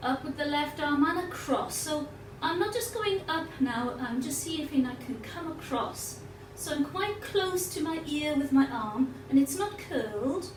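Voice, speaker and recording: A woman's high-pitched, lively intonation at a fairly slow pace, with audible room echo and noticeable background noise. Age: 60s. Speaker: yoga teacher. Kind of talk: guided yoga class.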